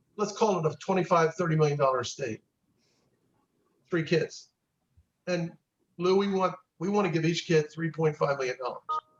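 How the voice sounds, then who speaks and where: A man with a high pitch speaks at a moderate pace with ordinary pitch variation. His pauses are long and frequent. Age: 70s. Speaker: estate planning attorney. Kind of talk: group discussion. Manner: halting, repetitive.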